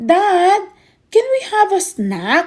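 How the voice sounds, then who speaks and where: A woman does a squeaky put-on character voice, extremely high in pitch with very wide pitch swings. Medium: read story.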